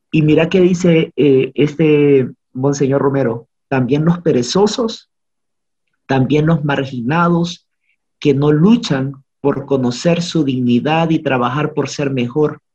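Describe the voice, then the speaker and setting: A man speaks very slowly in a somewhat breathy, dark, mellow tone at a fairly high pitch. His loudness stays very even, with ordinary pitch variation. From Honduras. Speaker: podcast guest. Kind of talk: casual conversation.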